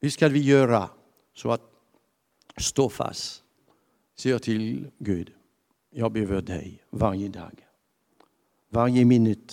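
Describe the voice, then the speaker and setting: Speaking at a very slow pace with long, frequent pauses, the voice has a dark, mellow tone and ordinary pitch variation. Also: man, medium pitch for a man. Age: 70s. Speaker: pastor. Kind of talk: sermon. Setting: church.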